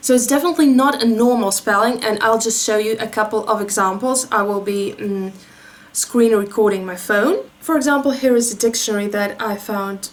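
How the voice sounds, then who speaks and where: With noticeable background noise behind her, a woman speaks at a fairly quick pace with a Russian accent. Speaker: beauty YouTuber. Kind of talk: commentary video with on-screen demonstration. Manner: explanatory, conversational.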